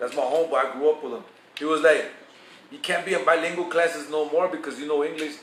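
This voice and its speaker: Over noticeable background noise, a man speaks at a very fast pace. His pitch is fairly high, and his intonation is fairly even. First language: Spanish. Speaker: vlogger giving advice. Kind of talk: casual storytelling monologue. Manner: casual, profane, code-switching.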